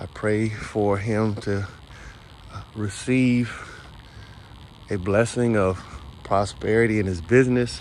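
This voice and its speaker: A man's fairly low voice at a very slow pace, with long, frequent pauses, big swings in loudness, fairly even intonation and audible room echo. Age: 60s. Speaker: vlogger, business owner. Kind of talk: personal monologue vlog. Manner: reflective, with hesitations.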